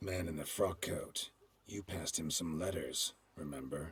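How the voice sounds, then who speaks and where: A man puts on a raspy character voice, very deep and low in pitch, at a moderate pace. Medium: video game. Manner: terse, clipped, gruff.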